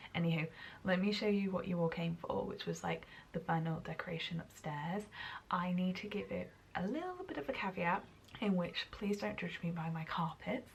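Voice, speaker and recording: The speaker is soft-spoken, at a moderate pace with ordinary pitch variation. Background noise is noticeable. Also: woman, fairly low pitch for a woman. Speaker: lifestyle vlogger. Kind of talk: casual vlog talk to camera. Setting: at home.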